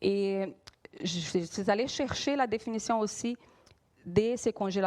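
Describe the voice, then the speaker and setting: Lively intonation marks this woman's fairly high voice, in a Brazilian accent. She speaks at a very slow pace. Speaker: preacher. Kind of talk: sermon. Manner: halting, frequent hesitations.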